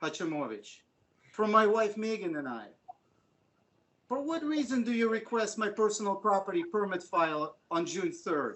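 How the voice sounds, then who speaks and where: This man's pitch is high and swings very widely. He talks at a moderate pace. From Ukraine. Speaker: resident giving public comment. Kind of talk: public comment at city council meeting. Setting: council meeting, hybrid in-person/remote.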